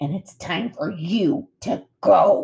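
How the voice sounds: A growling, put-on character voice at a middle pitch.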